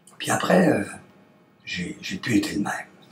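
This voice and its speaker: A whispering man at a very slow pace, with noticeable background noise. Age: 60s. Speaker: testimonial actor playing heart patient. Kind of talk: testimony. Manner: halting, with hesitations.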